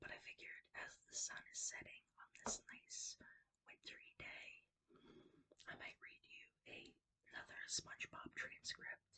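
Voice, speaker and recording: A woman whispering at a fairly slow pace, with big swings in loudness. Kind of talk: casual talk to camera. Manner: whispered.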